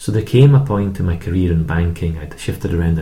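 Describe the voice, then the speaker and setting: Very fast speech in an Edinburgh accent, with audible room echo and noticeable background noise. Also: man. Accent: Scottish (Edinburgh). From Scotland, Edinburgh. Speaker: Bible charity leader, former banker. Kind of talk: interview testimony. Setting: studio.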